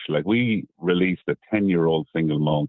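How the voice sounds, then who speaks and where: With an Irish accent, a man speaks at a moderate pace. His very deep, low voice shows ordinary pitch variation. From Ireland, Midlands. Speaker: whiskey distiller. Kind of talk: radio interview. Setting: phone call. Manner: halting.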